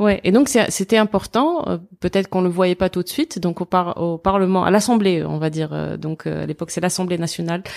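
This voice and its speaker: A woman with a normal speaking voice talks at a fairly quick pace with hardly any pauses, her medium pitch showing ordinary variation in a dry, close sound with no echo. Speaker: podcast host. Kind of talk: interview.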